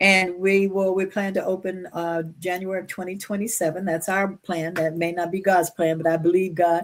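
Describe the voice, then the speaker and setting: A woman at medium pitch with monotone, flat intonation. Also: moderate pace. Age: 70s. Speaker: trafficking survivor and advocate, flight attendant. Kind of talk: interview, personal testimony.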